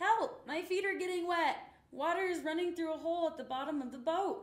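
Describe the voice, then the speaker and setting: In a put-on character voice, extremely high and raised to project, the speaker moves at a fairly quick pace. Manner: panicked.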